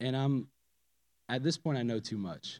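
A man's voice with a dark, mellow tone. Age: 30s. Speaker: church member. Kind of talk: testimony.

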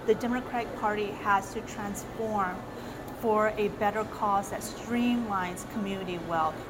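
A woman with a fairly high pitch speaks at a moderate pace. Noticeable background noise and audible room echo come through. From South Korea, raised in US since 1977. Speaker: political candidate. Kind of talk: interview.

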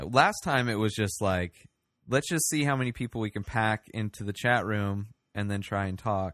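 Against a quiet background with a dry, close sound and no echo, a man with a fairly low pitch and an unremarkable speaking voice talks at a moderate pace with ordinary pitch variation. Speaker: podcast host. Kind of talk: casual chat.

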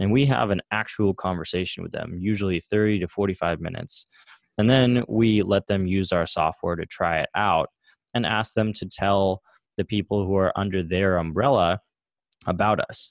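In a plain, everyday voice, a man with an American accent speaks at fairly low pitch and a moderate pace, with ordinary pitch variation and a dry, close sound with no echo. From small-town US. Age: 20s. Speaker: software entrepreneur. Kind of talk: interview conversation.

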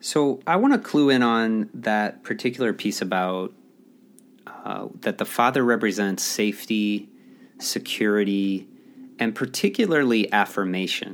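A man talks at a fairly slow pace in an ordinary speaking voice. His pitch is fairly low, with ordinary variation. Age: 30s. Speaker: podcast host, executive coach. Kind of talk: solo monologue podcast.

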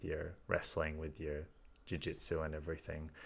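With an Australian accent, a man speaks in a very deep, low pitch. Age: 20s. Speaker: podcast host. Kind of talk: casual chat.

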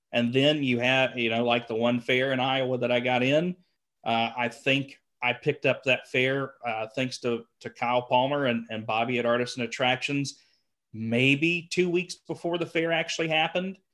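A man talks in a Southern US accent. His pace is moderate. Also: medium pitch for a man, ordinary pitch variation. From rural Georgia. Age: 20s. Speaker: clown and fair entertainer. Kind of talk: casual interview chat.

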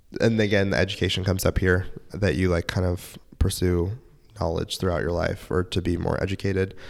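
A man with a very deep, low pitch at a fairly quick pace. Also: fairly even intonation. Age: 20s. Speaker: astrologer. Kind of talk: astrology reading in casual chat.

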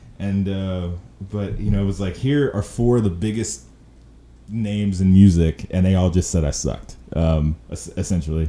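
A man speaks with an American accent at a very deep, low pitch. His tone is dark and mellow. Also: ordinary pitch variation, moderate pace. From Chicago South Side. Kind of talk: casual chat. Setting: video call.

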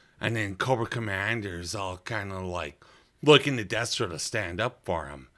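A man with a fairly low pitch and a bright, sharp tone talks at a moderate pace, using ordinary pitch variation and big swings in loudness. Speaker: podcast host. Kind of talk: casual banter chat.

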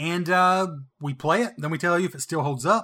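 A man with a Southern accent speaks at a moderate pace in a fairly high pitch, with a bright, sharp tone and ordinary pitch variation, on a very clean recording with a silent background. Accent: Southern, noticeable on playback. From US South. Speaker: retro video game podcast co-host. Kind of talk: casual chat.

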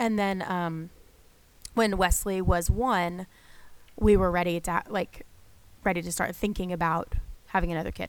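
A woman with an American accent speaks at a moderate pace with fairly low pitch and ordinary pitch variation, in a very clean recording with a silent background. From northern US. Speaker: podcast host, pastor's wife and mother. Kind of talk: casual chat.

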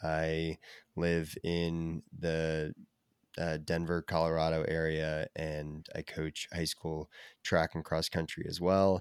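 A man with an American accent and a very deep, low pitch, flat and monotone at a very slow pace, dry and close with no echo, in a very clean recording over a silent background. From US Northeast, Connecticut. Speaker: endurance athlete and running coach. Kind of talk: casual interview chat. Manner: halting, many fillers and restarts.

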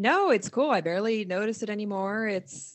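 Using an ordinary speaking voice, a woman with an American accent talks at a fairly quick pace with ordinary pitch variation. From US Northeast (New Jersey). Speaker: counselor and podcast host. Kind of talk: casual chat.

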